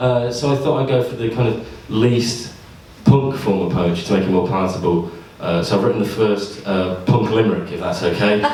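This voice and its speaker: With noticeable background noise behind him, a man talks at a moderate pace and fairly low pitch, using ordinary pitch variation. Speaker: poet. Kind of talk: comedy poetry performance to a live audience. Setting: live venue with audience.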